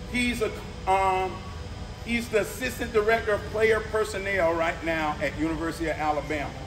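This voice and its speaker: Music plays in the background as a man with a high pitch talks at a moderate pace with ordinary pitch variation. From Lakeland, Florida, US South. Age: 50s. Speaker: youth program leader. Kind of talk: speech to an audience. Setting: event hall with audience.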